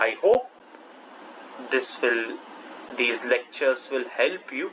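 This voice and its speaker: The pace of this man's speech is very slow. Noticeable background noise is heard throughout. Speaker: math lecturer. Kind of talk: lecture.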